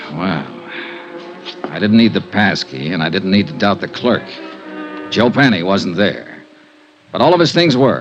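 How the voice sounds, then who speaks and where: A man's fairly low voice at a fairly slow pace, with very wide pitch swings, long, frequent pauses, and music in the background. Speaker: radio drama lead, insurance investigator narrating. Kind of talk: old-time radio detective drama with first-person narration.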